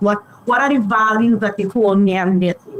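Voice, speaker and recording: A woman with a fairly high pitch, over noticeable background noise. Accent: Caribbean. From Trinidad and Tobago. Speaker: public relations consultant. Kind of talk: podcast interview.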